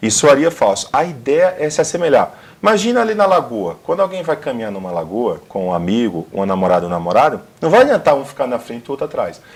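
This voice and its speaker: Talking very fast with a northeastern Brazilian accent, a man uses a fairly high pitch, very wide pitch swings and vocal fry. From Brazilian Northeast. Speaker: career consultant. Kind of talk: TV interview. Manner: matches interviewer's speed.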